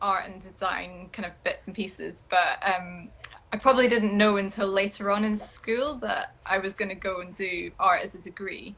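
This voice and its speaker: This is a woman's voice at a medium pitch. Her intonation is fairly even. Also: big swings in loudness. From Scotland, Edinburgh. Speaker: print and textile designer. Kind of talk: interview chat.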